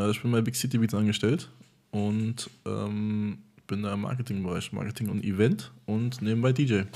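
The man's fairly low pitch comes with a dark, mellow tone. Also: ordinary pitch variation, moderate pace. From Germany. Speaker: marketing employee and DJ. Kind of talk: casual chat.

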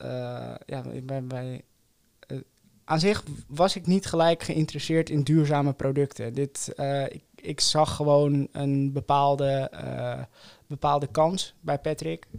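The man's voice is fairly high in pitch and his intonation stays fairly even. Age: 20s. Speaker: co-founder of a sustainable oral care brand. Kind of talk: interview. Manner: halting, many fillers.

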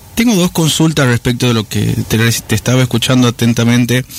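A man's medium-pitched voice with ordinary pitch variation, amid noticeable background noise. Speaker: radio co-host. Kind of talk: radio interview. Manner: halting.

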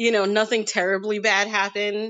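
A woman with a New York accent, fairly high in pitch, at a moderate pace. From US, Queens, New York City. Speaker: model and performer. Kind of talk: casual chat.

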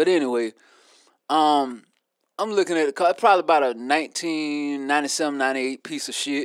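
Here a man with an ordinary speaking voice talks at a fairly quick pace. His pitch is fairly high, with ordinary pitch variation. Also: dry, close sound with no echo, very clean recording, silent background. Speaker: podcast co-host. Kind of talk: casual chat.

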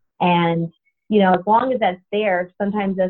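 Speaking at a fairly quick pace, a woman talks with an American accent. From Florida, Tallahassee. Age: 20s. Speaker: pastor's daughter and graphic designer. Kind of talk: interview. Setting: phone call.

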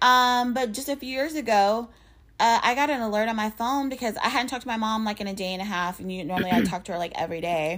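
In a plain, everyday voice, a woman talks at a fairly quick pace with a fairly high pitch and lively intonation. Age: 30s. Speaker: podcast co-host. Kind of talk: casual chat.

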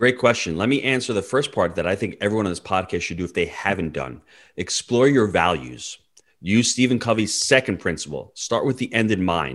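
In a quiet background, a man with an American accent talks at a fairly quick pace, his fairly low voice showing vocal fry and lively intonation. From New York. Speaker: real estate investor. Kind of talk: interview.

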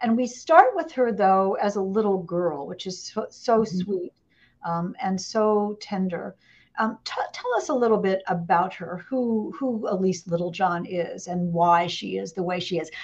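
An unremarkable speaking voice from a woman with an American accent, medium in pitch, moderate in pace, with ordinary pitch variation. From Indiana, US Midwest. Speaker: author interviewer. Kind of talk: live interview. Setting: live online broadcast, video call.

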